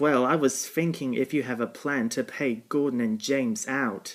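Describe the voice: Using a cartoonish character voice, a man talks at a moderate pace and medium pitch.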